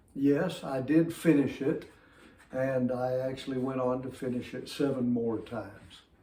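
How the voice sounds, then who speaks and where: Very slowly and with audible room echo, a man with a Southern US accent speaks at a fairly high pitch. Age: 60s. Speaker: fitness vlogger. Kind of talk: casual talk to camera.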